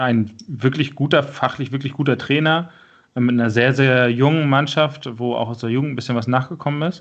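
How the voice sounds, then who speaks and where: A normal speaking voice at a moderate pace, with fairly even intonation. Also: man. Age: 30s. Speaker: amateur football coach and podcast host. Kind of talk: casual chat.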